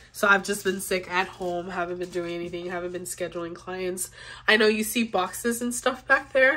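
Her tone is bright and sharp, and this woman's pitch varies in an ordinary way. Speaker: vlogger. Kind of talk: casual vlog chat. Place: home room. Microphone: phone near.

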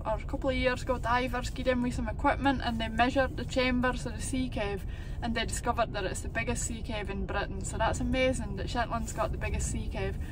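With hardly any pauses, a woman talks in a dry sound with no echo over noticeable background noise. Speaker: local guide making a school video. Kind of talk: educational explanation for children. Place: car. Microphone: phone near.

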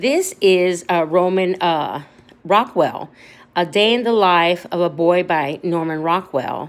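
A woman with an unremarkable speaking voice, a fairly low pitch, and ordinary pitch variation. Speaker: thrift reseller. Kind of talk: casual haul vlog chat. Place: home room. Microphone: phone near.

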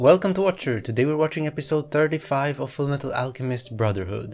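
A man at a very fast pace with ordinary pitch variation, faint music in the background. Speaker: reaction channel host. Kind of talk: casual vlog chat. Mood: friendly, upbeat.

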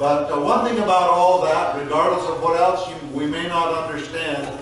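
Strong room echo and light background noise surround a man's voice. He speaks at a fairly slow pace with ordinary pitch variation. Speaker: pastor. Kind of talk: sermon. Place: church.

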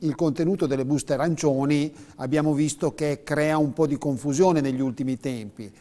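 The man's voice has a dark, mellow tone. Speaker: pension adviser; TV presenter. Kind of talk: explanatory advice on live TV. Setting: TV studio. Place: studio. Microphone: lapel.

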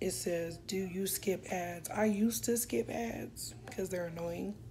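Through noticeable background noise, a woman with a fairly low pitch speaks in very wide pitch swings. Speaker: vlogger. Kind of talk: casual vlog chat. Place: home room. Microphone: phone near.

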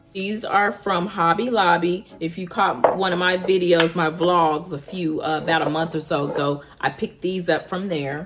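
Moderately paced speech from a woman at a fairly low pitch, with hardly any pauses, fairly even intonation and noticeable background noise. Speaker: home decor vlogger. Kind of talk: casual vlog chat. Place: home room. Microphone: phone near.

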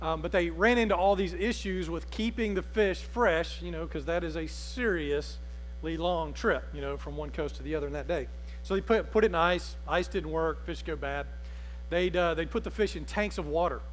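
A man speaks at a moderate pace. Light background noise sits behind him. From Alabama. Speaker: pastor. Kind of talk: sermon. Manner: conversational. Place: church.

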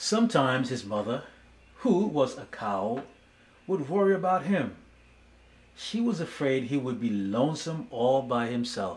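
Pausing long and often, a man with a gentle, warm tone speaks fairly slowly, his pitch swinging very widely. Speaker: speech therapist and storybook reader. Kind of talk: children's storybook narration, read aloud. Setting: video channel, solo recording. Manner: gentle, slow and warm, storyteller pacing. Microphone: phone near.

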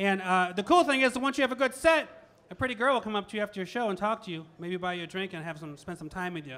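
A man speaks at a very fast pace. His raised, projected voice has a bright, sharp tone. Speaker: stand-up comedian. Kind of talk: stand-up comedy routine. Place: cafe. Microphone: handheld.

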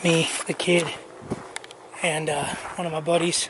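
A man speaks at a high pitch. The sound is dry with no echo, though noticeable background noise is present. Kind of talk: casual vlog chat. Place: open country. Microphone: phone near.

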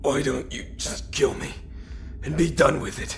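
Putting on a character voice, a man speaks at a moderate pace over clear background noise. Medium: audio drama.

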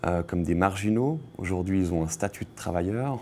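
A man is talking. His voice is very deep and low. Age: 30s. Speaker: photographer. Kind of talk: interview. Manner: halting, with frequent repetitions. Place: studio.

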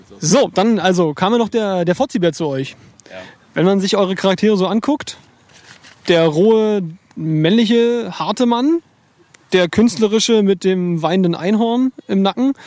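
A man speaks with a high pitch at a moderate pace, in a playful tone. The sound is dry with no echo, and his pauses are long and frequent. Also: ordinary pitch variation. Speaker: music interviewer. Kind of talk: casual interview. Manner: joking, playful. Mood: relaxed, casual, joking. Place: waterside. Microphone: handheld.

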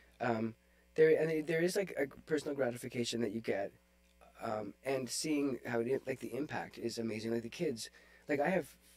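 Using ordinary pitch variation, a man talks at a fairly quick pace. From Northern Ontario, Canada (Sudbury); Ontario. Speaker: oboe player; podcast guest. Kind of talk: casual interview chat. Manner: hesitant with many fillers. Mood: relaxed, storytelling. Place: home room. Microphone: studio mic.

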